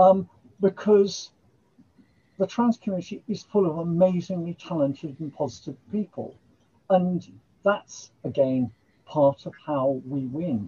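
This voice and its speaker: With an English accent, a woman's fairly low, somewhat breathy voice moves at a fairly slow pace with lively intonation, big swings in loudness, and long, frequent pauses. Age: 70s. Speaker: writer and poet. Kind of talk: casual chat.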